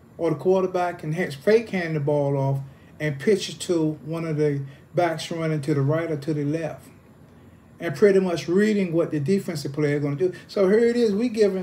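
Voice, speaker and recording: The tone of this man's voice is dark and mellow, and his pitch is high. He keeps a moderate pace with ordinary pitch variation. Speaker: football coach. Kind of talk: interview answer. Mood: calm, reminiscing. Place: home room. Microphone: phone near.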